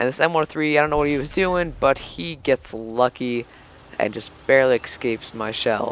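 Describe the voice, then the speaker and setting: The recording is dry and close with no echo, carrying a man's medium-pitched voice with ordinary pitch variation. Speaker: gaming YouTuber. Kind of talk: gameplay commentary. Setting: at a friend's house. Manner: loud; casual, animated.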